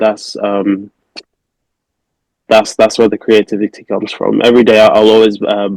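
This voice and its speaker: A man with a Manchester accent, fairly low in pitch, at a moderate pace, the sound dry and close with no echo. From England, Manchester. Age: 20s. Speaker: custom sneaker artist. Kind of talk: podcast interview. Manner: hesitant, many fillers.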